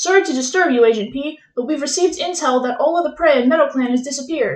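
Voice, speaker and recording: A woman in a put-on character voice, high-pitched and very fast. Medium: read story. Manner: brisk, authoritative.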